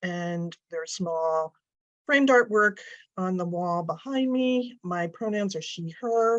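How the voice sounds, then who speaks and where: Over a quiet background, a woman talks at a very slow pace. Her pitch is medium and her intonation lively. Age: 60s. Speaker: arts advocacy director. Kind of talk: webinar presentation.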